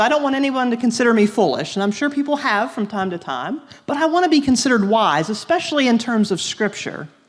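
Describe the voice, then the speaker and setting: Delivered at a very fast pace with hardly any pauses, the speech swings very widely in pitch over noticeable background noise. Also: woman. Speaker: youth teacher. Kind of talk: lecture.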